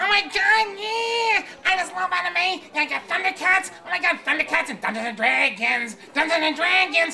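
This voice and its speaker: Clear background noise sits behind a put-on character voice at an extremely high pitch. The delivery moves at a moderate pace. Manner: nerdy, excitable.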